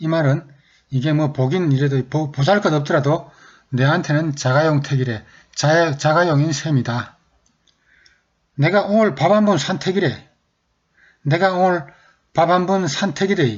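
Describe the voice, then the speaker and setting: Long pauses come often as the speaker talks at a fairly slow pace. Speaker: regional dialect teacher. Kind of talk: dialect vocabulary lesson to camera.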